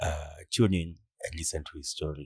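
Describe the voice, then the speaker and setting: Here is a man with a very deep, low pitch and a somewhat breathy voice. The sound is dry and close, with no echo. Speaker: podcast host, foundation founder. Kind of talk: podcast intro.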